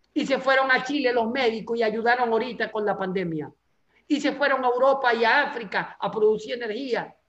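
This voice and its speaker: Talking at a fairly quick pace, a man with a Venezuelan accent has an extremely high pitch and ordinary pitch variation. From Venezuela, Anzoátegui state. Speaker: political activist. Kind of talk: interview.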